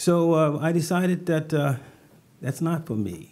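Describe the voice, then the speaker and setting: Moderately paced male speech with an American accent. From US South. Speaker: city economic development manager. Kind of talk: panel discussion. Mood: reflective, gently humorous. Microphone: podium.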